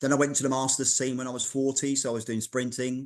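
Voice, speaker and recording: A man speaks with a London accent. His pace is fairly quick. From London, England. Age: 60s. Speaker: fitness writer and masters athlete. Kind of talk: podcast interview. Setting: in his daughter's art gallery.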